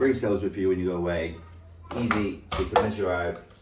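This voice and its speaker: Over noticeable background noise and audible room echo, a man speaks at a fairly low pitch with fairly even intonation. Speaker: fitness vlogger. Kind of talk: casual vlog.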